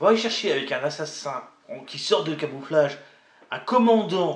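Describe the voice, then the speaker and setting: Speaking at a fairly slow pace, a man with a fairly high pitch and lively intonation swings widely in loudness over noticeable background noise. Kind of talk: casual chat.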